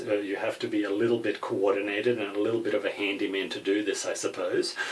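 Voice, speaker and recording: Over noticeable background noise, a man with a European accent talks at a fairly quick pace. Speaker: gun hobbyist. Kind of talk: tutorial. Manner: hesitant, many fillers.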